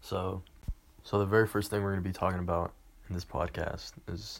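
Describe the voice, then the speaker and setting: A man talks in a very deep, low voice. His delivery is monotone and flat. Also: very clean recording, silent background. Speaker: podcast host. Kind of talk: casual monologue. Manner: halting, stuttering.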